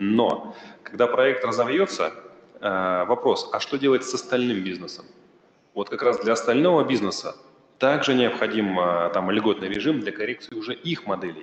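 Audible room echo surrounds a man who speaks with lively intonation and long, frequent pauses. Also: moderate pace. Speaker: regional government minister; presenter. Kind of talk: conference presentation. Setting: stage with audience. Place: hall.

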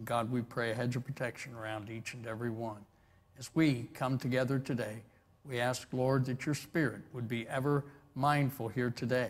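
Delivered at a moderate pace, the speech has a monotone, flat intonation. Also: man. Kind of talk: opening prayer. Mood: reverent, calm. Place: church.

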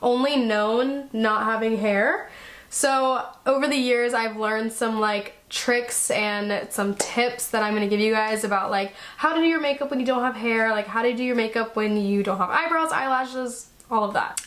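Loudness stays very even at a moderate pace. Pitch variation is ordinary. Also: woman. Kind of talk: casual vlog chat. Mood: cheerful, laughing. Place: home room.

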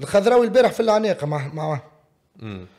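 Over a quiet background, a man talks at a fairly quick pace in a dark, mellow tone with ordinary pitch variation. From Tunisia. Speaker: former footballer and sports pundit; podcast guest. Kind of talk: casual interview. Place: studio. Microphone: studio mic.

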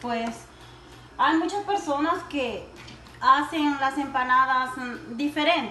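Against light background noise and audible room echo, a woman talks at a very slow pace in a high pitch. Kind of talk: cooking tutorial. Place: kitchen. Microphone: phone near.

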